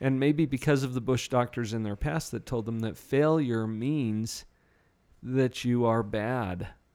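In a very clean recording with a silent background, a man uses a normal speaking voice at a medium pitch, a fairly slow pace, and ordinary pitch variation. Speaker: radio host and psychologist. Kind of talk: radio interview. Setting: studio.

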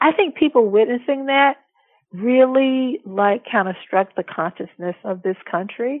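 This is an unremarkable speaking voice at a fairly slow pace. Its pitch varies in an ordinary way. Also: woman. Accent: American. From US South, Alabama. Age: 60s. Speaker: law professor. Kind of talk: interview.

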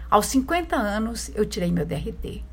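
Audible room echo hangs around the voice. A woman talks at a very slow pace. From rural Minas Gerais, Brazil. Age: 70s. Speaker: actress and playwright. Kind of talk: interview.

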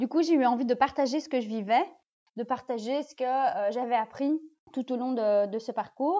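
A woman speaks in a high pitch with a dark, mellow tone. Her loudness swings widely. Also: ordinary pitch variation, moderate pace, quiet background. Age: 30s. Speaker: podcast host, workplace wellbeing. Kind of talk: solo monologue introduction. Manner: hesitant, many fillers.

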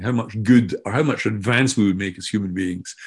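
Against a quiet background, the speaker talks at a moderate pace with a Scottish accent. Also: man. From Scotland. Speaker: AI and learning expert, author. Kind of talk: interview conversation.

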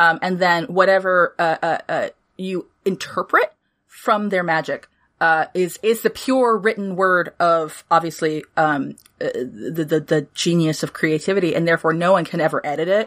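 A woman speaks at a moderate pace with a fairly low pitch and ordinary pitch variation, on a very clean recording with a silent background. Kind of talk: casual chat. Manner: animated, talkative.

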